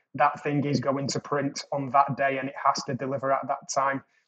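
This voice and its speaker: A fairly high-pitched man's voice with a British accent, flat and monotone. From England. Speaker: creative production executive. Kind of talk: casual chat.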